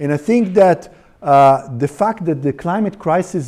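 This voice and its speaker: Speaking at a moderate pace, a man with a fairly high pitch and a dark, mellow tone uses lively intonation. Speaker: research institute director. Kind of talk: lecture. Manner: hesitant, many fillers.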